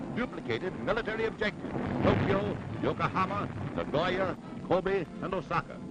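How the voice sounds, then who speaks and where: This man's voice is high-pitched, and noticeable background noise runs beneath it. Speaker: newsreel commentator. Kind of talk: wartime newsreel narration. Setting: vintage 1940s recording. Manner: dramatic, rousing.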